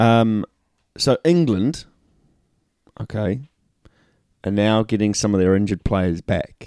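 A man speaks at a very slow pace in a dark, mellow tone. The sound is dry and close with no echo, and the recording is very clean against a silent background. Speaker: rugby podcast co-host. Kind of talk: casual banter, sports podcast.

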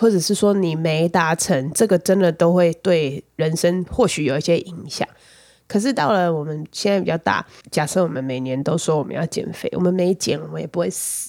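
At a moderate pace, a woman uses a normal speaking voice, pitched fairly low with ordinary pitch variation. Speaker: podcast host. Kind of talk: casual chat.

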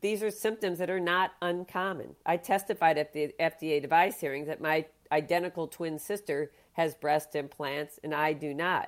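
Very clean recording with a silent background carries an ordinary speaking voice at a moderate pace with ordinary pitch variation. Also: woman. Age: 60s. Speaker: plastic surgeon. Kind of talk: interview.

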